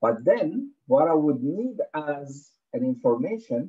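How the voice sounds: A man with a slightly husky edge speaks at medium pitch, making big pitch swings.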